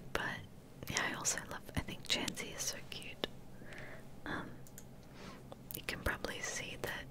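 Whispering comes at a fairly slow pace, broken by long, frequent pauses. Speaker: Twitch streamer. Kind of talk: ASMR whisper rambling stream, casual talk to camera. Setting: livestream with handcam ASMR microphone. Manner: whispered, soft-spoken. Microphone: studio mic.

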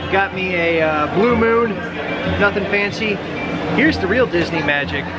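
With music playing in the background, a man speaks at a moderate pace. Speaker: vlogger. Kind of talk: casual vlog chat. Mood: wry, self-mocking humor. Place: street. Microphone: phone near.

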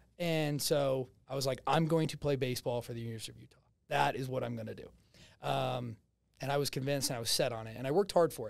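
A man with a New Jersey accent talks at a very fast pace and medium pitch, with fairly even intonation and big swings in loudness. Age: 20s. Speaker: real estate agent and salesman. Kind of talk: casual interview. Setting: studio.

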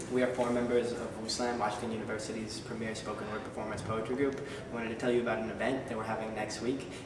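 Speech rushes at a very fast pace with hardly any pauses, with audible room echo and noticeable background noise. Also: man. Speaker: college spoken word poet. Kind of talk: event promo talk to camera. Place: hall. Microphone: camera far.

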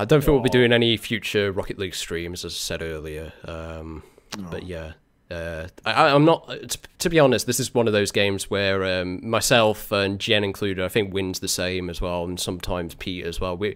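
With a British accent, a man speaks at a moderate pace in a fairly low pitch. His pitch varies in an ordinary way against a quiet background. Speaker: streamer, hosting a game stream. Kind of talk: casual stream chat. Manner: casual, chatty.

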